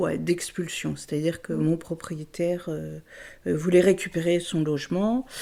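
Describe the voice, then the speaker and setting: Speaking very slowly, a woman has a fairly low pitch and a dark, mellow tone. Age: 70s. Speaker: resident of a women's co-housing house. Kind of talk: interview testimony. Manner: halting, many hesitations.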